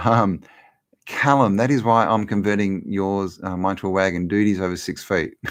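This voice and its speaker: A man with an Australian accent, fairly low in pitch, with fairly even intonation. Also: moderate pace, very clean recording, silent background. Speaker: livestream host, law of attraction channel. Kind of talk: live Q&A chat. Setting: live stream. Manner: casual, halting with repetitions.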